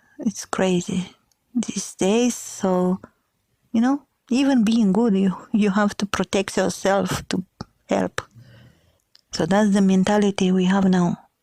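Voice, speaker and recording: Very slowly, with long, frequent pauses, a woman speaks at a medium pitch with fairly even intonation and very even loudness, the sound dry and close with no echo. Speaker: podcaster. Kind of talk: casual podcast talk.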